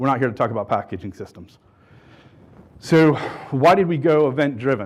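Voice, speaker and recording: A man's medium-pitched voice with lively intonation at a fairly quick pace. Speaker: conference speaker, software pipeline architect. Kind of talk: conference keynote talk. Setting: stage with audience. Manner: fast.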